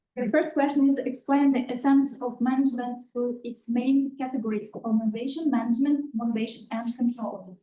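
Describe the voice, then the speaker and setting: This woman has an Uzbek accent and a high, dark, mellow voice. She talks at a fairly quick pace with hardly any pauses and fairly even intonation. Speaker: master's applicant. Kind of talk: oral exam answer. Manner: halting.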